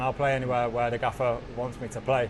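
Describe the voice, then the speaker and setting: Noticeable background noise behind a man's medium-pitched voice at a moderate speed. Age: 20s. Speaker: professional footballer. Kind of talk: post-match interview. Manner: halting.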